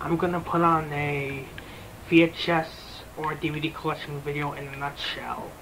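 A man speaks at a moderate pace with fairly high pitch and little pitch movement, over clear background noise.

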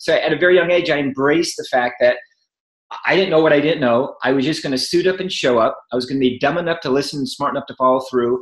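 Talking at a very fast pace, a man with a fairly high pitch and ordinary pitch variation is heard with audible room echo against a quiet background. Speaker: network marketing entrepreneur; podcast guest. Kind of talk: interview. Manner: animated. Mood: enthusiastic, motivational. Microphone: webcam.

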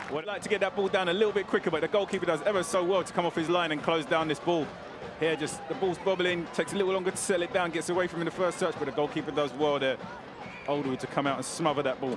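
A man with a high pitch talks at a very fast pace over noticeable background noise. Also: ordinary pitch variation. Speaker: football color commentator. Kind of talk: live football commentary, analytical replay breakdown. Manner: measured analytical, rising to bursts of excitement; long run-on explanatory sentences.

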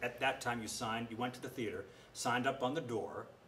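This is a man speaking. There is light background noise. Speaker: interviewee. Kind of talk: interview answer. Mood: warm, amused storytelling. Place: stage. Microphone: camera far.

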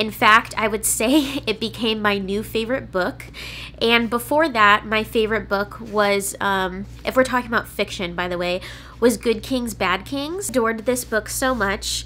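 Light background noise sits beneath a woman who speaks at a moderate pace. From California, US. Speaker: book reviewer and YouTuber; book reviewer, YouTuber. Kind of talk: casual vlog-style book review. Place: home room.

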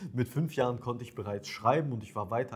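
A man speaks at a medium pitch, somewhat breathy. His pitch varies in an ordinary way. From Ukraine. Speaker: dating coach. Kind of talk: monologue to camera, coaching pitch. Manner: casual, direct.

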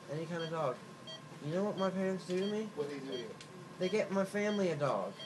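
Talking at a very fast pace, a man has a high pitch and ordinary pitch variation. Noticeable background noise is present. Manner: slurred, loopy talk under anesthesia. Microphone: phone near.

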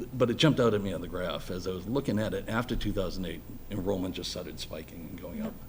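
Somewhat breathy, a man with an American accent speaks amid audible room echo. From Boston area (Dorchester). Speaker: electrical engineer and school building committee volunteer. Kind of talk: public meeting presentation. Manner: halting.

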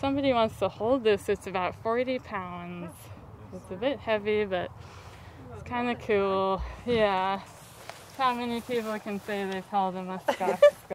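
A woman at a fairly slow pace, with ordinary pitch variation, big swings in loudness, long and frequent pauses, dry sound with no echo and light background noise. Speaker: farm tour guide. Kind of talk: tour guide explanation. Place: farm machine. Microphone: camera far.

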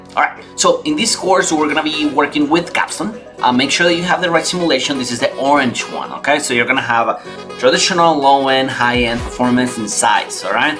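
Speaking with a non-native accent, a man talks at a fairly high pitch and a fairly quick pace. His pitch varies in an ordinary way, and music is clearly heard in the background. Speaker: online course tutor. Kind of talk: screen-recorded course lecture. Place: home room.

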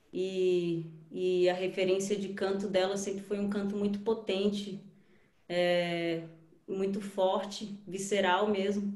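Very slowly and in a monotone, flat delivery, a woman speaks with audible room echo around her. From Brasília, Brazil. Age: 30s. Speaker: musician; panelist. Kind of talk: panel talk on video call. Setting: video call. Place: home room. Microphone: video call.

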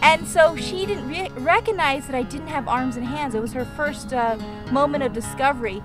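Over clear music in the background, a woman with a high pitch talks at a fairly slow pace in a dry sound with no echo. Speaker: vlogger aunt. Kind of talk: casual vlog chat. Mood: warm, earnest. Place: open country. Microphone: phone near.

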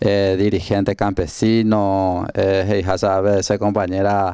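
Over a quiet background, a man talks very slowly in a fairly low, dark and mellow voice with monotone, flat intonation. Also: dry sound with no echo. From Paraguay, Canindeyú; Paraguay. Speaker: political candidate, farmer leader; candidate. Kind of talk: interview. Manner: halting. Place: studio. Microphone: handheld.

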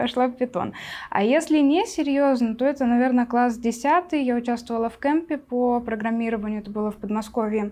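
With big swings in loudness, a woman talks at a fairly quick pace in a high voice with a dark, mellow tone. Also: ordinary pitch variation. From Siberia, Russia. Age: 20s. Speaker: Python developer and mentor; guest. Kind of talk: casual chat. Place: studio. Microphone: lapel.

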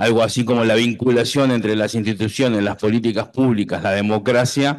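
A man with an ordinary speaking voice, medium pitch and fairly even intonation, at a fairly quick pace over a quiet background. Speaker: doctoral researcher. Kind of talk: academic presentation. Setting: university hall with audience.

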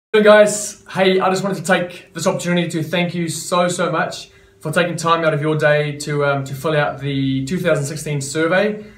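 A man's high-pitched voice at a moderate pace, with hardly any pauses, fairly even intonation and audible room echo. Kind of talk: business update to members. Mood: warm, grateful. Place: office. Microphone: camera far.

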